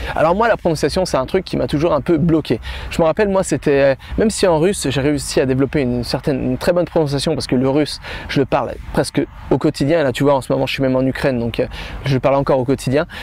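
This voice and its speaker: Speaking at a very fast pace with very even loudness, a man with a fairly high pitch is heard over noticeable background noise. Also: ordinary pitch variation. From France. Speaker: language-learning youtuber. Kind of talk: vlog-style tutorial. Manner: animated; halting with repetitions.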